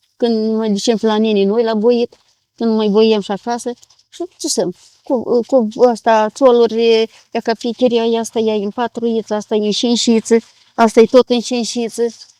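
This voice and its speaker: A woman's fairly high, dark and mellow voice, flat and monotone, at a moderate pace, with a dry, close sound and no echo. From Moldova, Ialoveni area. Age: 70s. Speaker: village craftswoman, weaver. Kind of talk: interview. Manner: halting.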